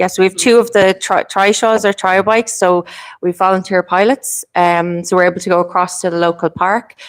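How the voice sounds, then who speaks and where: At a fairly quick pace, a woman with a medium pitch speaks with ordinary pitch variation in a dry, close sound with no echo, on a very clean recording with a silent background. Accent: Irish. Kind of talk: panel discussion. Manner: fast.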